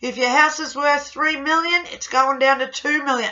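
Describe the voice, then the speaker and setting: The background is quiet. A woman speaks in a high voice. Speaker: tarot reader. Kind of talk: monthly horoscope talk to camera. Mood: warm, occasional laughter. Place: home room. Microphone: webcam.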